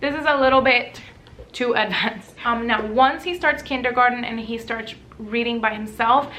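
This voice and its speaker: With noticeable background noise and audible room echo, a high-pitched woman speaks in a Spanish accent at a moderate pace with fairly even intonation. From Puerto Rico. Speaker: lifestyle and parenting vlogger. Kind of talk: casual tutorial.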